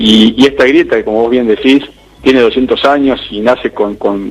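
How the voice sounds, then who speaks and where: A man's fairly even intonation comes through against noticeable background noise. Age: 40s. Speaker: interviewer, show host. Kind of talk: interview.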